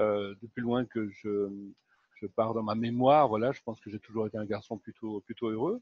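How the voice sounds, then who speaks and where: A man at a fairly low pitch, with monotone, flat intonation, at a moderate pace. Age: 60s. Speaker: happiness coach. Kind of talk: interview. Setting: live video stream. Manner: halting, many fillers.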